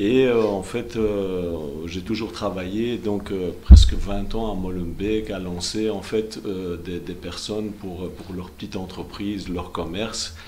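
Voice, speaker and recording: A man's very deep, low voice at a very slow pace, with fairly even intonation, big swings in loudness, audible room echo and noticeable background noise. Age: 50s. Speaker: politician, election candidate. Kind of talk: TV interview. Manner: halting, many fillers.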